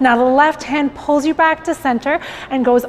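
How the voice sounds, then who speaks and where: At a moderate pace, a woman talks in a high pitch with fairly even intonation. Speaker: fitness instructor. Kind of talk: workout instruction. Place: studio. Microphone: lapel.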